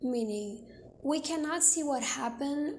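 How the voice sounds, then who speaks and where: The speaker talks fairly slowly in a Brazilian Portuguese accent with ordinary pitch variation. Audible room echo can be heard. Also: woman. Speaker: video essayist. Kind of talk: video essay narration.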